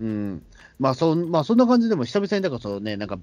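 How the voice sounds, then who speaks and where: A man talks with a fairly high pitch. Behind him, the background stays quiet. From Tokyo, Katsushika (shitamachi). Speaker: podcast host. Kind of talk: casual chat. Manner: halting, many fillers.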